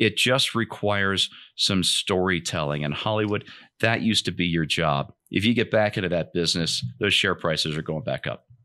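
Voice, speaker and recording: A man's bright, sharp voice moves at a moderate pace with ordinary pitch variation. The recording is very clean, with a silent background. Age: 50s. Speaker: podcast host. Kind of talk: casual chat.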